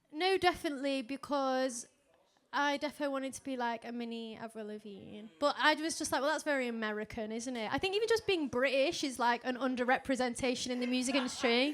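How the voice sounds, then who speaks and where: A woman's high voice at a very fast pace, with noticeable background noise. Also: ordinary pitch variation. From northern England, near Stoke-on-Trent. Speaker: electronic pop musician. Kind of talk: interview. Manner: casual, chatty.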